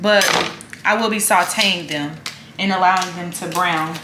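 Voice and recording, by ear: A woman speaks at a fairly low pitch with a bright, sharp tone and ordinary pitch variation. Her pace is fairly slow, and room echo is audible.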